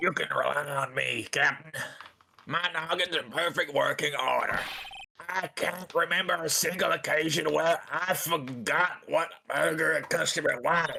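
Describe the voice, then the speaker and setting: A man's put-on character voice, high in pitch, at a moderate pace, with very even loudness. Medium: fan dub. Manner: grumbling, cantankerous.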